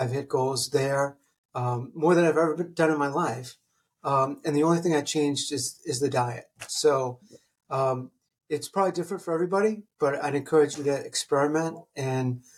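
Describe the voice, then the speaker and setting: The man's voice is fairly high and somewhat breathy, keeping a moderate pace and ordinary pitch variation. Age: 50s. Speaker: laser engineer and company founder. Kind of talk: casual interview.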